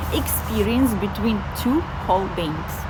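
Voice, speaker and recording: Soft-spoken and fairly slow, a woman talks amid audible room echo with music in the background. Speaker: spiritual content creator. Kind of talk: reflective monologue. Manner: halting.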